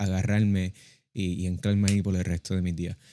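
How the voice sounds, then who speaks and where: A man speaks at a fairly quick pace and fairly low pitch, his tone dark and mellow and his intonation a flat monotone. The recording is very clean with a silent background, and the sound is dry and close with no echo. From Puerto Rico. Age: young. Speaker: podcast co-host. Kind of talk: casual religious discussion.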